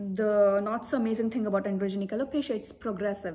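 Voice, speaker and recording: A woman speaks very fast at a medium pitch with fairly even intonation. Her tone is dark and mellow, and somewhat breathy. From India. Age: 30s. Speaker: vlogger. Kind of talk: personal talk to camera.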